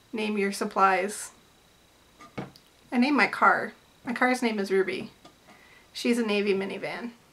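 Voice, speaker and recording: Over noticeable background noise, a woman with an American accent speaks with fairly even intonation and long, frequent pauses. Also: medium pitch for a woman, moderate pace. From US Midwest, Metro Detroit. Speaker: artist and vlogger. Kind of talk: casual vlog chat. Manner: rambling, with many fillers and tangents.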